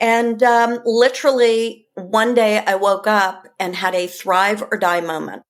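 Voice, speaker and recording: A woman speaks with an American accent at a fairly high pitch. Her pace is fairly slow, with hardly any pauses. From New York, Westchester. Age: 60s. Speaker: wellness coach. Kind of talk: podcast interview. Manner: animated.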